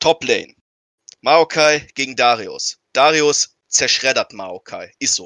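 This man's voice is fairly high for a man, and its pitch varies in an ordinary way. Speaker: podcast co-host. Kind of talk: casual chat.

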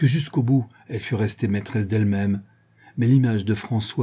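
This natural reading voice carries ordinary pitch variation throughout.

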